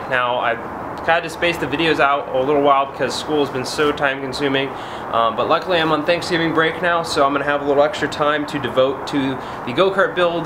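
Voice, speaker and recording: Noticeable background noise is present. A man speaks at a very fast pace with fairly even intonation. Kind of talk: casual vlog chat. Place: garage.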